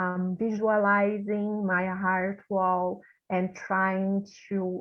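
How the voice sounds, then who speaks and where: In a Portuguese accent, a woman talks at a medium pitch. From Brazil. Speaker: volunteer session participant. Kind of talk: casual interview. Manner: halting.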